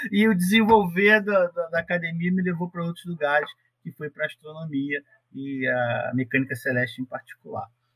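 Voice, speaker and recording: A man's high-pitched voice at a moderate pace, ordinary pitch variation, dry and close sound with no echo. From Rio de Janeiro state, Brazil (Paracambi, Baixada Fluminense). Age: 40s. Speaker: astronomy researcher. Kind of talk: casual interview.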